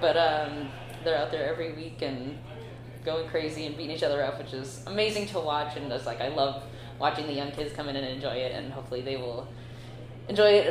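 Amid noticeable background noise and audible room echo, a woman with an American accent speaks at a fairly quick pace in a very deep, low pitch. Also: big swings in loudness. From Northern California. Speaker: combat sport knight. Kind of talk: interview.

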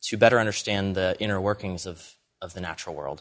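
A man speaks in a normal speaking voice at a fairly low pitch. His intonation stays fairly even. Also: quiet background. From Pennsylvania, US. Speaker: entrepreneur. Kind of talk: interview.

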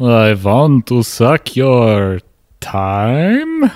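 Over a silent background in a very clean recording, a man uses a put-on character voice at medium pitch. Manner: seductive, playful.

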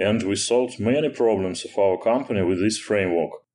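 The man's voice sits at a fairly low pitch. The background is quiet. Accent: Russian. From Russia, Moscow. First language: Russian. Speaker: software engineer. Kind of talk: technical interview. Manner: hesitant, many fillers.

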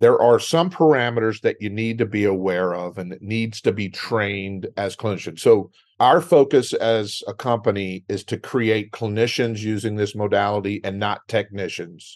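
In a Texan accent, a man speaks at a moderate pace with hardly any pauses, his fairly low pitch showing ordinary variation against a quiet background. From West Texas. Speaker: speech-language pathologist. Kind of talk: educational interview. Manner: conversational.

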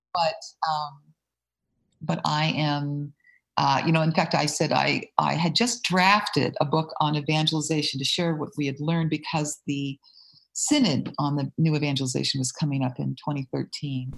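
Somewhat breathy voice with an American accent, ordinary pitch variation and a moderate pace. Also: woman, very deep, low pitch for a woman. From US South, southern Mississippi. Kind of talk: podcast interview.

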